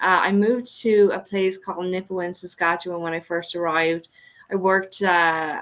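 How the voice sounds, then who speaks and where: In an Irish accent, a woman speaks at a moderate pace with monotone, flat intonation. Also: medium pitch for a woman. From Ireland. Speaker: economic development director. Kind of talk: podcast interview. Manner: hesitant fillers.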